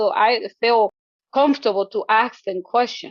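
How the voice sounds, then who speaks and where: A woman speaks with a non-native accent at a fairly high pitch. Her pitch varies in an ordinary way. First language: not English. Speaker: social work exam taker. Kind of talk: testimony. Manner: halting, many repetitions.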